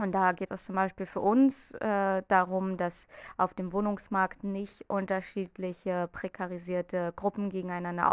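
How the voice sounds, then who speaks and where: A woman's monotone, flat intonation against a quiet background. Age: 20s. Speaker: student group representative. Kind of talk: campaign interview statement. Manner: hesitant with filler sounds. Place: office. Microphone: handheld.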